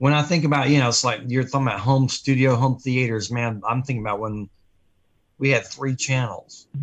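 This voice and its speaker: A man talks at a fairly quick pace in a plain, everyday voice, medium in pitch, with fairly even intonation. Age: 60s. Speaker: radio co-host, guitar business owner. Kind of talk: casual chat.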